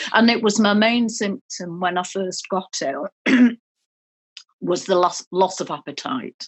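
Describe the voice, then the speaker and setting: A woman with a British accent speaks at a fairly slow pace at medium pitch, with ordinary pitch variation and long, frequent pauses. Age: 60s. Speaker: patient with chronic fatigue. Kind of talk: therapy session conversation. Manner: halting.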